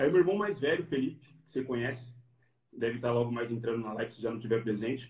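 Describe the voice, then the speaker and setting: A man talks very fast at a medium pitch. His voice is somewhat breathy, with ordinary pitch variation. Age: 30s. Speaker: physical education professional. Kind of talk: interview. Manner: casual.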